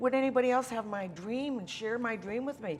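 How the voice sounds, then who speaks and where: Against noticeable background noise, a woman talks at a fairly quick pace in a fairly high pitch. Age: 70s. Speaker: author and anthology creator. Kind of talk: interview. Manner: animated.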